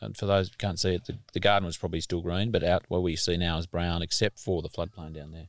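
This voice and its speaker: A man with an Australian accent and a very deep, low pitch, fairly even in intonation, at a very fast pace with hardly any pauses, in a dry, close sound with no echo and a very clean recording over a silent background. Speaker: podcast host and farmer. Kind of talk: casual interview. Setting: on location at a farm.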